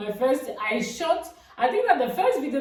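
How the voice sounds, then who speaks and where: Moderate pace from a woman, noticeable background noise, audible room echo. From Cameroon. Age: 20s. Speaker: vlogger. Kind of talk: casual vlog talk. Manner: halting.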